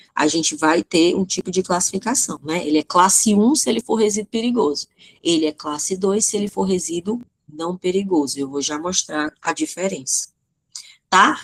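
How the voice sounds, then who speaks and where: A woman with a fairly low pitch talks at a moderate pace with lively intonation. Her voice sounds dry and close, with no echo. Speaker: teacher. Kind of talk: online lecture. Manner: halting, with many fillers.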